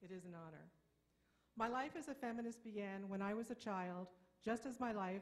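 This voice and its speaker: A woman speaks in an American accent at a moderate pace. Her voice is somewhat breathy, with ordinary pitch variation. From Brooklyn, New York. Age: 60s. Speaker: feminist activist speaker. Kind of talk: conference speech.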